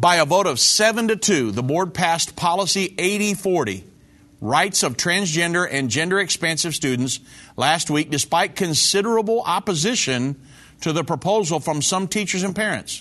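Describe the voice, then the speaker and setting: Over a quiet background, a man with a high pitch speaks in a bright, sharp tone with lively intonation. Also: moderate pace. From Indiana, US Midwest. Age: 50s. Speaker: evangelist show host. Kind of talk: religious commentary show.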